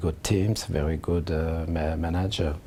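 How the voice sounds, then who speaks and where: A man's very deep, low voice in a French accent, with monotone, flat intonation. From France. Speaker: football manager. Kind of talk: interview answer. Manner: hesitant, halting.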